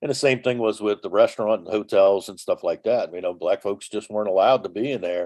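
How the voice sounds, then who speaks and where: A man speaks at a very fast pace with a New Orleans accent. The sound is dry and close, with no echo. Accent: New Orleans Southern US. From New Orleans, US South. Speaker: former tour bus driver. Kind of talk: interview storytelling. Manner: halting, many fillers and restarts.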